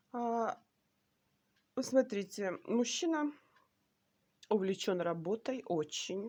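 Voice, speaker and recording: A very slow woman's voice with lively intonation. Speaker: tarot reader. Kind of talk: tarot reading video. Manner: hesitant fillers.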